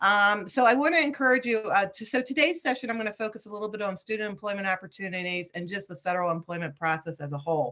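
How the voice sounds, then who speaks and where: A woman with an American accent talks very fast, with hardly any pauses. Her medium-pitched voice has a bright, sharp tone and very wide pitch swings. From Washington DC. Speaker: federal human resources specialist. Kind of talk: webinar presentation.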